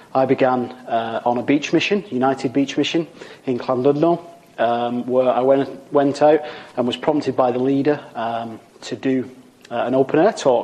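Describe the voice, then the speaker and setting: With a Lancashire accent, a man talks at a moderate pace in a medium pitch, his intonation fairly even against noticeable background noise. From Wigan, Lancashire, northern England. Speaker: evangelist preacher. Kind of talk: recorded sermon. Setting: pre-recorded video.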